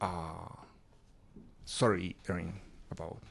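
In a Spanish accent, a man speaks at a very deep, low pitch with fairly even intonation. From Chile, raised in Mozambique and Ecuador. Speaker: DJ. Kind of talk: casual chat.

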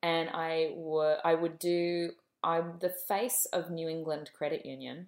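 Flat and monotone, a woman with an Australian accent talks at a fairly slow pace in a fairly low pitch. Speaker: film director. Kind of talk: interview.

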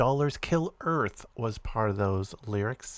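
A man speaks at a medium pitch with ordinary pitch variation in a normal speaking voice, on a very clean recording with a silent background. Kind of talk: podcast host narration, introducing songs and commenting on politics.

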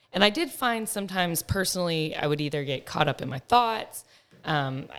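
An American-accented woman with an unremarkable speaking voice, a fairly low pitch, and a very clean recording with a silent background. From Texas. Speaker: pharmaceutical sales manager. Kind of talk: casual chat. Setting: studio.

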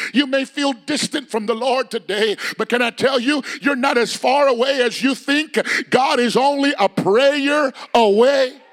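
A man's extremely high-pitched, animated voice, dry and close with no echo, over noticeable background noise. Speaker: preacher. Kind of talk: sermon. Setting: church. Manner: animated, call-and-response preaching; emphatic, building in intensity.

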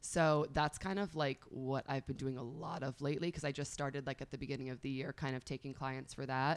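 A woman with an American accent and a very deep, low pitch, at a fairly quick pace with hardly any pauses and fairly even intonation, on a very clean recording with a silent background. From New York, northern Westchester. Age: 30s. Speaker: fitness instructor and tarot reader. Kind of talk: casual interview.

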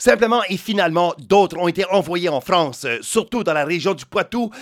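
A man's high voice with very wide pitch swings at a moderate pace, over noticeable background noise. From New Brunswick, Canada. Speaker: podcast host. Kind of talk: scripted narration.

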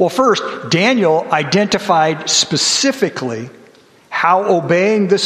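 A man with lively intonation at a moderate pace, over noticeable background noise. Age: 60s. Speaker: church elder giving a sermon. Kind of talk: sermon.

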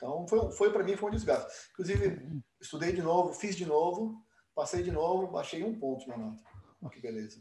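Talking at a fairly quick pace, the man has a high pitch. His intonation is lively. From Brazil, São Paulo. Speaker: dentist and program director. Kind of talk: interview.

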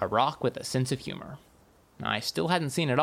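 The reading is aloud, in a natural voice. Pitch variation is ordinary.

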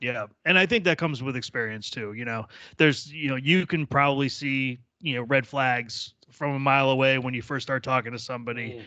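Over a quiet background, a man speaks in an unremarkable speaking voice at a medium pitch and a fairly quick pace, with ordinary pitch variation. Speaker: podcast host. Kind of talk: casual banter.

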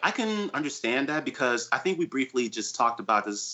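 A man's ordinary speaking voice, fairly high in pitch, with ordinary pitch variation. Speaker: podcast co-host. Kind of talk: casual chat about music news and reviews.

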